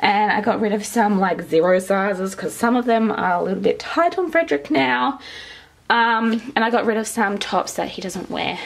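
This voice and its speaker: A woman speaks with very wide pitch swings. Her pace is moderate. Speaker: parent vlogger. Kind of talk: casual vlog chat. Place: home room. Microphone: phone near.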